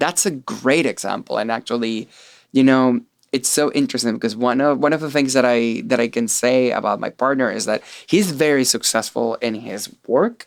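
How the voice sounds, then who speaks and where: A man speaks with a Venezuelan accent and ordinary pitch variation. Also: medium pitch for a man, moderate pace. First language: Spanish. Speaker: artist. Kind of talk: interview conversation.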